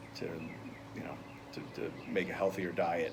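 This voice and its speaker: Noticeable background noise and audible room echo around speech at a moderate pace. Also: man. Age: 60s. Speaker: interviewee in a nutrition counseling role-play. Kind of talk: casual interview. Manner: halting, many fillers.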